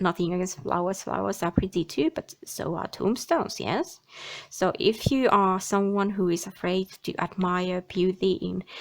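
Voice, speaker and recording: With a Finnish accent, a woman speaks at medium pitch. Her intonation stays fairly even. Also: moderate pace. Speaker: tarot and oracle card reader. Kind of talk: card reading monologue. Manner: halting.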